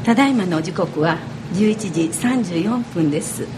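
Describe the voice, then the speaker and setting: A woman talks with lively intonation at a medium pitch. Noticeable background noise and audible room echo are present. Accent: Kyoto. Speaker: radio host. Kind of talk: live radio talk. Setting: radio studio at a cafe.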